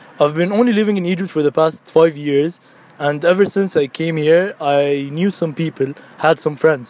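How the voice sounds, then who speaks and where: Noticeable background noise surrounds a man speaking at a moderate pace, his pitch high with ordinary variation. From Abu Dhabi, UAE. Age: 20s. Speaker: university student. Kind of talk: personal testimony.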